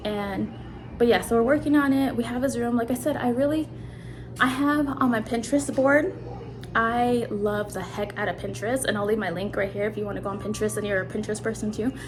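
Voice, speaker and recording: With noticeable background noise and audible room echo, a woman talks at a fairly quick pace in a fairly high voice with ordinary pitch variation. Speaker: vlogger, stay-at-home mom. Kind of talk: casual vlog. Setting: at home.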